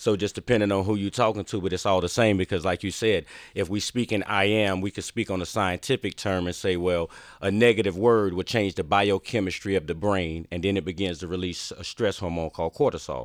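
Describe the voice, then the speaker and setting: A man with a North Carolina accent and a very deep, low pitch speaks at a fairly quick pace with fairly even intonation. The sound is dry and close with no echo, on a very clean recording with a silent background. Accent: Southern US (North Carolina). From Eastern North Carolina, US South. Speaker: motivational speaker and entrepreneur. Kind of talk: interview conversation. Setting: studio.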